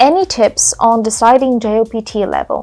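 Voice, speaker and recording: A woman speaks with a Bulgarian accent and ordinary pitch variation. The recording is very clean, with a silent background. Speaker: YouTuber. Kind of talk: Q&A video monologue. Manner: casual, conversational.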